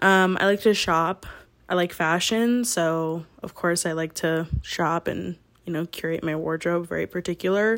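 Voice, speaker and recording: The woman's voice is fairly low and is an unremarkable speaking voice. She talks at a moderate pace in a very clean recording with a silent background. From military upbringing, partly New York. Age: 20s. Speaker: podcast host. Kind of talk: casual monologue.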